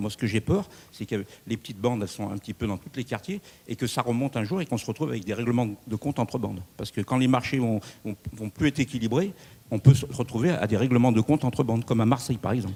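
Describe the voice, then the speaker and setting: His tone is dark and mellow. The man speaks at a very fast pace. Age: 60s. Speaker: audience member. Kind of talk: public question. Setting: town hall public debate.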